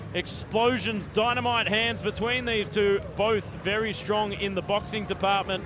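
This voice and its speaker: Someone with an Australian accent speaks fairly slowly with hardly any pauses and very even loudness, amid noticeable background noise and audible room echo. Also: man, high pitch for a man. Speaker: fight commentator. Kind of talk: live commentary. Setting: stadium. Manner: animated.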